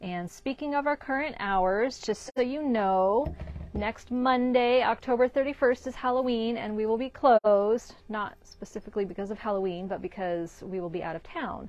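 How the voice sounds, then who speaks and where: A woman speaks at a moderate pace with hardly any pauses and ordinary pitch variation, the sound dry with no echo. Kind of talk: casual shop update talk. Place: shop. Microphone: lapel.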